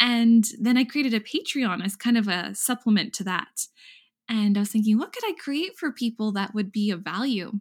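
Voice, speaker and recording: Recorded very cleanly against a silent background, a woman talks at a moderate pace with a fairly high pitch, a somewhat breathy voice and ordinary pitch variation. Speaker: meditation teacher. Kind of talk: casual interview chat.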